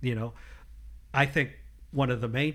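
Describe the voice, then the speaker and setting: This man has an American accent and talks at a medium pitch with fairly even intonation and some vocal fry. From northern Illinois, between Chicago and Milwaukee. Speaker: church insurance agent and elder. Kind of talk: casual interview. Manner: halting, many fillers.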